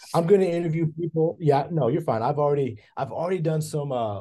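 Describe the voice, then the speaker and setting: Against a quiet background, a man with a Kentucky accent talks at a very fast pace in a dark, mellow, somewhat breathy tone. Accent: Kentucky Southern US. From western Kentucky, Hopkinsville. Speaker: professor of broadcasting, former journalist. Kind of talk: interview conversation. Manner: halting, with repetitions.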